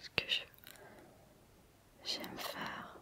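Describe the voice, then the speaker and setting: A woman whispers at a very slow pace. Noticeable background noise can be heard behind her. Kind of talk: ASMR whisper video. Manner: whispered, close to microphone.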